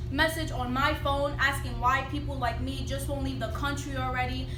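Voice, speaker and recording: A woman barely pauses as she talks, with noticeable noise in the background. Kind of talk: slam poetry performance.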